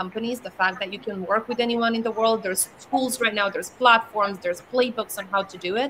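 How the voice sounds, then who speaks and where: A woman talks at a very fast pace with a fairly high pitch. Noticeable background noise sits behind her. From Romania. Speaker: startup founder. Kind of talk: fireside chat. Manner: animated.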